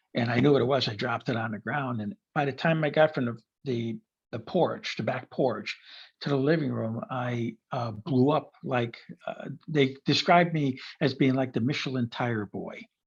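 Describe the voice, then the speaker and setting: A man speaks at a moderate pace in a somewhat breathy voice of medium pitch. His pitch varies in an ordinary way, and the background is quiet. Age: 60s. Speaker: retired engineer and near-death experiencer. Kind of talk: interview testimony. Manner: halting, many fillers.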